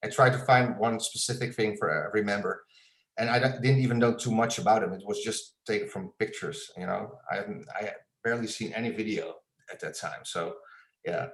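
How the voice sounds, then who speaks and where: A man with a Dutch accent speaks at a fairly quick pace. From Netherlands. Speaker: illustrator and graphic designer. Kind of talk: interview. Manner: halting, many fillers and repeats.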